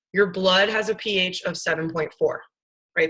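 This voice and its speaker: A woman speaks loudly at a moderate pace. Her tone is bright and sharp, her intonation monotone and flat. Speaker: science teacher. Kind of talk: lecture.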